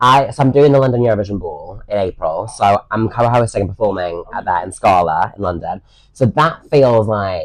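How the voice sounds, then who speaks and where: A man speaks with a British accent at a fairly quick pace. His pitch is medium. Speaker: reality TV contestant and singer. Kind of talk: casual chat. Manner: animated.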